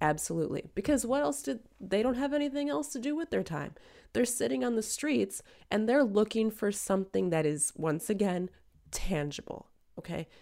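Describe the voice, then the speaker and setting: A woman's dark, mellow tone with very wide pitch swings, on a very clean recording with a silent background. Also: medium pitch for a woman, moderate pace. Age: 30s. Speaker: podcast co-host, working mother. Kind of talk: casual chat. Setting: studio, across from co-host. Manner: emphatic.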